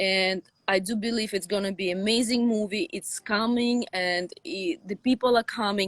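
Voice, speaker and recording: In a Russian accent, a woman speaks at a moderate pace and medium pitch with ordinary pitch variation, in a dry, close sound with no echo. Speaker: sci-fi author. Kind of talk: interview.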